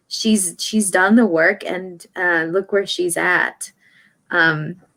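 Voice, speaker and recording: A woman at a very slow pace, medium in pitch with a bright, sharp tone, on a very clean recording with a silent background. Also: fairly even intonation. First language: Spanish. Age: 30s. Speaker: radio journalist. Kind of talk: interview. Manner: hesitant, many fillers.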